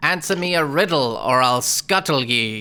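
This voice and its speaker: Put-on character voice from a man, delivered at a moderate pace. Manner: menacing, demanding.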